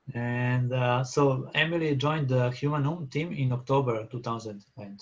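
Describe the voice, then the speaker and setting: This man's voice is somewhat breathy. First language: not English. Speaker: session chair. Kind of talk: conference moderation. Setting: video call. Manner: halting.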